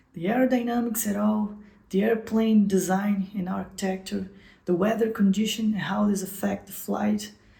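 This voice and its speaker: A woman with a Portuguese accent speaks at medium pitch and a fairly slow pace, her voice somewhat breathy with a dark, mellow tone. Her intonation stays fairly even. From Brazil. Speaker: software developer and channel host. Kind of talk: channel introduction vlog. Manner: halting, with repetitions and self-corrections.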